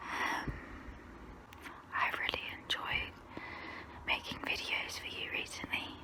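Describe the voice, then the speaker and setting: Long, frequent pauses break up a whisper delivered at a very slow pace, with noticeable background noise behind it. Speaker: ASMR creator. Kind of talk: ASMR get-to-know-me talk. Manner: soft, relaxing.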